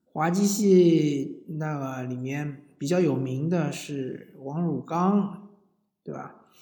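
Very slow and somewhat breathy, a man talks in a dark, mellow tone with ordinary pitch variation. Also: fairly high pitch for a man. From southern China. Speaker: podcast host. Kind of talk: casual monologue. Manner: hesitant, frequent fillers.

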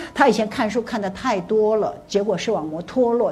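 A woman speaks in an animated tone at a fairly high pitch and a moderate pace. There is audible room echo. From Taiwan. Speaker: motivational speaker. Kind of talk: lecture.

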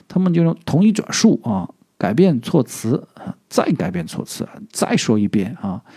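A man with a slight southern Chinese accent speaks at a fairly slow pace in a dark, mellow tone. His pitch swings very widely, with vocal fry. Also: medium pitch for a man. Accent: slight southern Chinese accent in Mandarin. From southern China. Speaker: podcast host. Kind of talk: casual vocabulary tutorial. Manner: halting, many filler sounds.

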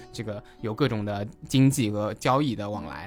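A man talks with ordinary pitch variation. Background music can be heard. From Taizhou, Zhejiang, China. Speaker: guest sharing local food and culture. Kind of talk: casual podcast conversation.

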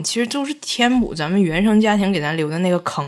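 Against noticeable background noise, a woman with a medium pitch speaks in an animated tone at a fairly quick pace. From Northeast China (Tieling, Liaoning). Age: 30s. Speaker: guest. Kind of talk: casual chat. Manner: animated, laughing often.

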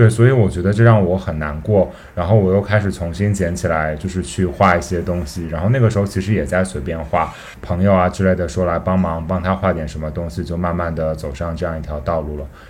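Over noticeable background noise, a man with a very deep, low voice speaks with hardly any pauses. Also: ordinary pitch variation, fairly quick pace. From Gansu, northwest China. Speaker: podcast host, illustration graduate student. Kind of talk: casual interview chat.

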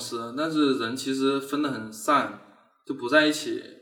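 A man speaks with a fairly high pitch. Audible echo fills the room around him. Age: 30s. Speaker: animation studio founder. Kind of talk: casual interview chat.

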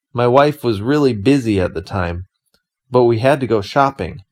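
A man with an American accent and a plain, everyday voice speaks at a moderate pace in a very clean recording with a silent background. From United States. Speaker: podcast host. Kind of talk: scripted narration.

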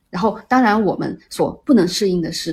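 A woman with medium pitch sounds somewhat breathy, showing ordinary pitch variation. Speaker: podcast host. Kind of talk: casual chat.

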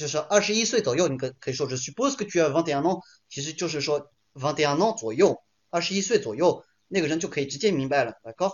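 Lively intonation marks this man's voice, which sits at a fairly high pitch. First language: French and Chinese (bilingual) (speaking Chinese). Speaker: French teacher. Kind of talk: online lecture. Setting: livestream. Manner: code-switching French and Chinese.

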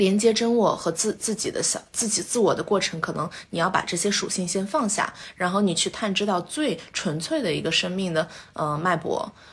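Somewhat breathy, a woman's voice sits at a middle pitch. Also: ordinary pitch variation, moderate pace. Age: 20s. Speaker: MBA graduate and entrepreneur. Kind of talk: casual interview chat.

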